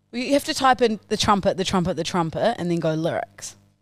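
A woman with an Australian accent at a moderate pace, lively intonation, and a dry sound with no echo. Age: 30s. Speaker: podcast co-host. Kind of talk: casual chat. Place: studio. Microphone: studio mic.

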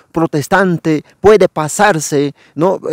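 A man with a high pitch and ordinary pitch variation is heard in a dry sound with no echo against a quiet background. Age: young. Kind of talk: channel outro address; interview with commentary. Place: forest. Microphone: lapel.

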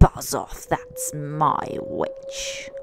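Over clear background noise, a put-on character voice comes out growling, shrill and croaky. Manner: threatening, snarled.

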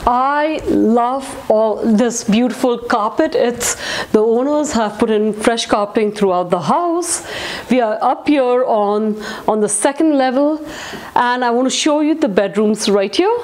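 Her voice is high-pitched, and this woman shows ordinary pitch variation. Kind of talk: walkthrough tour commentary. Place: home room.

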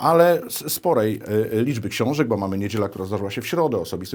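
A man's medium-pitched voice at a fairly quick pace with lively intonation, an ordinary speaking voice, on a very clean recording with a silent background. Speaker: TV interviewer. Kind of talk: interview conversation. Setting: TV studio.

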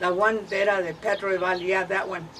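A woman speaks in a flat monotone. Light background noise is present. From Arizona, US Southwest. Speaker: elderly interviewee sharing family history. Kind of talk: oral history interview. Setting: at home, partly outdoors in the garden. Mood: relaxed reminiscing. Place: home room. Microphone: camera far.

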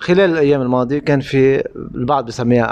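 Man's voice at medium pitch, with ordinary pitch variation and a moderate pace. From Lebanon. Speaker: TV reporter; interviewer. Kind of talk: on-location interview. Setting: in a home. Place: home room. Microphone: handheld.

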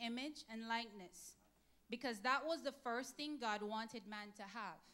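At a fairly slow pace, a woman speaks with fairly high pitch, ordinary pitch variation and a bright, sharp tone. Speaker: speaker. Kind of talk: testimony-style sermon speech; sermon. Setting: church. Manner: earnest, steady, formal. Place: church. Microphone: handheld.

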